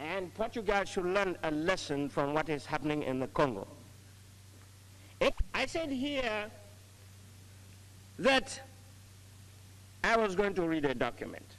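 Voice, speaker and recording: With long, frequent pauses, a man speaks in a high voice whose pitch swings very widely. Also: fairly slow pace. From Nigeria. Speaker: statesman and diplomat. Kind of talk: formal address to a United Nations assembly. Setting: assembly hall, vintage recording. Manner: formal, emphatic, oratorical. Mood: firm, admonishing. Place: hall. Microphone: podium.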